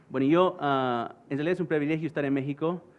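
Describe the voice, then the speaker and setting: Moderately paced male speech, the intonation fairly even. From United States, Bolivian parents. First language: English/Spanglish (speaking Spanish). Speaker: conference speaker, former US Marine. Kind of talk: conference talk. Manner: halting, many fillers.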